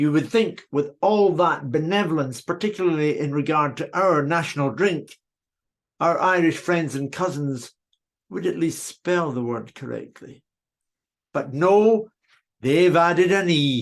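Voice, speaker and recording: Against a quiet background, a man speaks with a Scottish accent. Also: fairly high pitch for a man, ordinary pitch variation, fairly slow pace. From Scotland. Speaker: whisky tour guide giving a speech. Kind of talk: after-dinner speech. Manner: formal.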